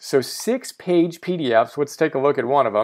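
A man talks at a fairly slow pace in a fairly high pitch. The recording is very clean, with a silent background. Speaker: interview host. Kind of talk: interview. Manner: enthusiastic.

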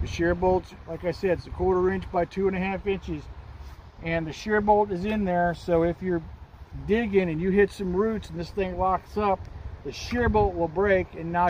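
Moderately paced speech from a man, fairly even in intonation, dry with no echo, over light background noise. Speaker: tractor owner. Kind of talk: tutorial. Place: open country. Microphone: phone near.

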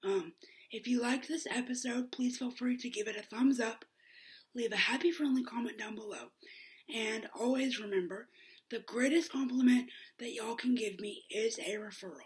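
High pitch from a woman, ordinary pitch variation and a moderate pace. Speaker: vlogger. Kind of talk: casual vlog outro. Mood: warm, upbeat. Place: home room. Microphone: webcam.

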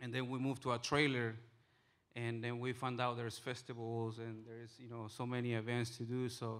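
The man's delivery is monotone and flat, and his pace is moderate. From Bolivia. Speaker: restaurant owner, food truck entrepreneur. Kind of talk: personal story told to a live audience. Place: hall. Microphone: handheld.

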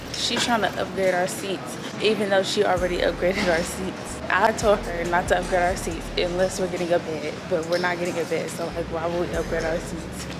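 A woman talks at a fairly quick pace with hardly any pauses while music plays in the background. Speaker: travel vlogger. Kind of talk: casual vlog chat. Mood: mildly annoyed, chatty. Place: hall. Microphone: phone near.

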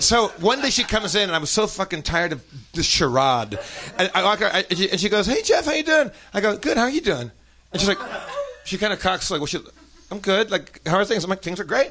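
Against noticeable background noise, a man with an American accent projects a raised, high voice. His pitch swings very widely as he talks at a fairly quick pace. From United States. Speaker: comedian. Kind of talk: comedic storytelling. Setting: stage with audience. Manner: animated. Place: stage. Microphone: studio mic.

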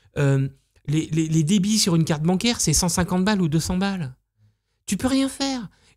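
Over a quiet background, a man speaks at a fairly slow pace in a high pitch, with lively intonation, very even loudness, and long, frequent pauses. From Normandy, France. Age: 50s. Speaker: entrepreneur, luxury hotel owner; interviewee. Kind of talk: casual interview. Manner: halting, many fillers. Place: home room. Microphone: studio mic.

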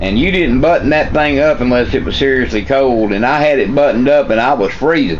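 With a Southern US accent, a man speaks fairly quickly with hardly any pauses, at a fairly high pitch with ordinary pitch variation and very even loudness, over light background noise. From US South. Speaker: metal detecting vlogger. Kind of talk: casual vlog talk. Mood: relaxed, upbeat. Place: kitchen.

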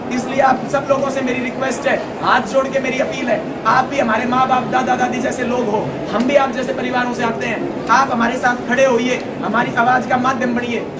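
A man talking at a moderate pace against loud background noise. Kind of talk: protest speech. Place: hall. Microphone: camera far.

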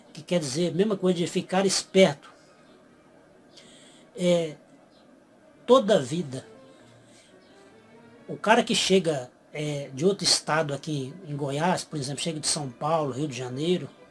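With faint music in the background, the speaker goes at a fairly slow pace with long, frequent pauses and ordinary pitch variation. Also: man, fairly high pitch for a man. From Goiás, Brazil. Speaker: youtuber explaining regional slang. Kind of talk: casual talk to camera.

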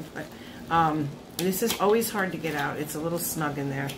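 The speech has ordinary pitch variation and a moderate pace, with noticeable background noise. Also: woman. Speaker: beauty vlogger. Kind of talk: product review vlog chat. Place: home room. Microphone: phone near.

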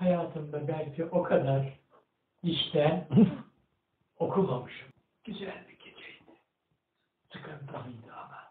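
A man's fairly high pitch, fairly even intonation, very slow pace, and long, frequent pauses, with audible room echo and light background noise. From Erzincan, Turkey. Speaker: retired agricultural engineer. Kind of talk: interview answer, personal memoir. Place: home room. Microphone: camera far.

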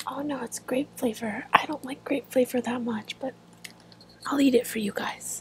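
Soft-spoken and gentle in tone, a woman talks at a high pitch and a moderate pace with monotone, flat intonation, in a dry sound with no echo and light background noise. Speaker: ASMR creator. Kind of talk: ASMR candy eating, casual talk to camera. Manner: soft-spoken, gentle. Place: home room. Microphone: earbuds.

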